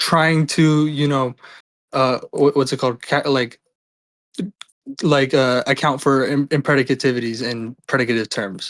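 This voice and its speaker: In a Miami accent, the speaker moves at a moderate pace with fairly even intonation and long, frequent pauses, the sound dry and close with no echo. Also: man, fairly high pitch for a man. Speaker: philosophy and legal theory discussant. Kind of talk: casual intellectual discussion. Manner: halting, many fillers and restarts.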